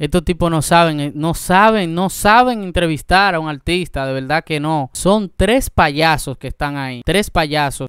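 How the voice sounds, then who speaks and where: A high-pitched man's voice with lively intonation at a fairly slow pace, in a dry sound with no echo and a quiet background. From Dominican Republic. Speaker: YouTube reaction host; reaction video host. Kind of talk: reaction commentary. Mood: indignant, critical. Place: home room. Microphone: studio mic.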